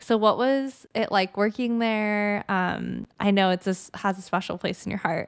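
A plain, everyday voice from a woman, medium in pitch, with fairly even intonation, a moderate pace, hardly any pauses, and a very clean recording over a silent background. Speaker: podcast host. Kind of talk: casual chat.

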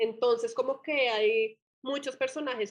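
Moderately paced and with fairly even intonation, a woman speaks in an unremarkable speaking voice. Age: 30s. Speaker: entrepreneur, brand founder. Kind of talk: interview conversation.

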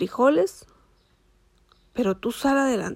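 A woman speaks with a Mexican accent in a very clean recording with a silent background. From Michoacán, Mexico. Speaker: dentist. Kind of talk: personal storytelling monologue. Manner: halting, many fillers.

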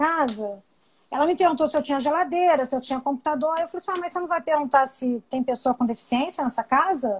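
A woman speaks in a high-pitched voice. Her intonation is lively. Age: 50s. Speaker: blind accessibility advocate, audio description user. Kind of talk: casual chat.

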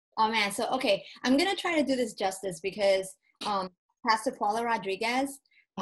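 Moving at a moderate pace, a woman speaks with a fairly high pitch and ordinary pitch variation. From Spain until age eight, then US. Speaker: church ministry leader. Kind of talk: faith-based casual interview.

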